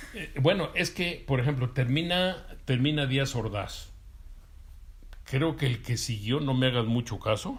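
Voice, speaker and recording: Somewhat breathy, a man speaks at a fairly slow pace in a medium pitch, with ordinary pitch variation. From Mexico, Durango. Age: 60s. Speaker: interviewee, witness of 1968 student movement. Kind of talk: interview. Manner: halting, many fillers and repetitions.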